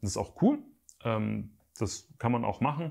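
Somewhat breathy, a man talks at a moderate pace with lively intonation. The background is quiet. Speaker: YouTuber and photographer; photography youtuber. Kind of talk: casual vlog update to viewers. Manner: casual, hesitant with fillers. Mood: calm, reflective. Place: home room.

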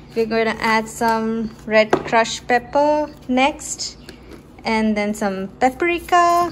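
A woman talks in a high pitch over noticeable background noise. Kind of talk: casual vlog cooking narration. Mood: cheerful, excited. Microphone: phone near.

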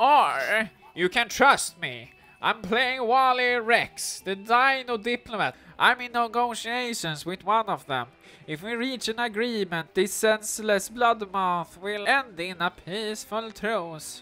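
A put-on character voice, nasal and fairly high in pitch, moves at a fairly slow pace. Faint music plays in the background. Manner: earnest, smug.

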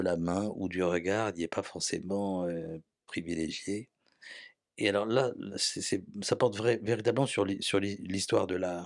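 Over a quiet background, a man with a very deep, low voice speaks at a fairly slow pace with fairly even intonation and long, frequent pauses. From France, Paris. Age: 70s. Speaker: former museum and library director; interview guest. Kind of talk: interview. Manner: halting. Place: home room. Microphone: handheld.

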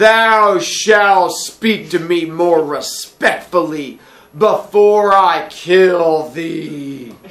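A man puts on a high-pitched character voice and talks at a very slow pace. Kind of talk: archaic, formal. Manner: haughty, threatening.

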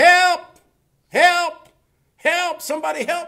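A man's shouting, extremely high-pitched put-on character voice at a fairly slow pace. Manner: screaming for help, desperate.

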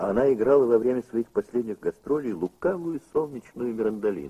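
A man's dark, mellow, solemn tone at medium pitch and a moderate pace, with ordinary pitch variation and a dry, close sound with no echo. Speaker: narrator. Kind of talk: scripted narration. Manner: formal, measured, solemn.

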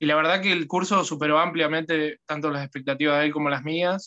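This man speaks with a Rioplatense accent in a bright, sharp tone, his fairly high pitch held in a monotone, flat intonation against a quiet background. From Argentina, Buenos Aires province. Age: 20s. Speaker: guitar student. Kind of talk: testimony; interview answer. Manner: halting, repeats words. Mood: grateful, relaxed. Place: home room. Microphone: phone near.

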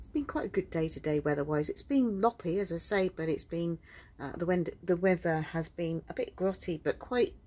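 At a moderate pace, a woman with a fairly low pitch speaks with ordinary pitch variation. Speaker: cruise vlogger's wife. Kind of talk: casual vlog chat. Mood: calm, mildly wry. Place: boat. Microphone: phone near.

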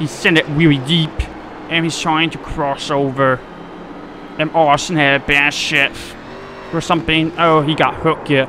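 Over music in the background, a man with an American accent talks in a monotone, flat way at a moderate pace. His voice is fairly high, and he leaves long, frequent pauses. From North Carolina. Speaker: sim racing streamer. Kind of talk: live gameplay commentary. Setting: home gaming setup. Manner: casual, filler-heavy.

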